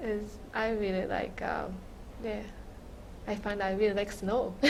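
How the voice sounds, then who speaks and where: A woman with a Japanese accent at a medium pitch, monotone and flat, at a fairly slow pace, with noticeable background noise and audible room echo. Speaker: immigrant interviewee. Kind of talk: oral history interview. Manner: halting.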